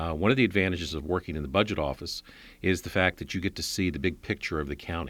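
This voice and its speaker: On a very clean recording with a silent background, a man with a very deep, low pitch talks at a very fast pace with ordinary pitch variation in an American accent. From Northern Virginia, Alexandria. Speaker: county government executive. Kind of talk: interview.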